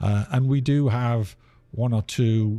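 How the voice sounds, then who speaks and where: A dark, mellow tone with ordinary pitch variation comes through on a very clean recording with a silent background. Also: man. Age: 60s. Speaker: theatre executive director. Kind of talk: interview. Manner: halting.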